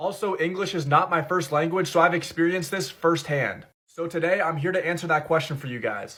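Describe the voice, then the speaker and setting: In a very clean recording with a silent background, a man talks at a fairly quick pace with hardly any pauses, his high-pitched voice bright and sharp in tone, animated, with ordinary pitch variation. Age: 20s. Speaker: comedy content creator. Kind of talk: comedic monologue.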